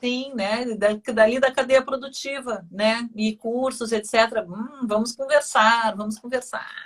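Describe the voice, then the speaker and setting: Over noticeable background noise, a woman speaks with a southern Brazilian accent. Her pitch is high and her pace is fairly slow. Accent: gaúcho. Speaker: radio host. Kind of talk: interview. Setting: studio. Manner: animated.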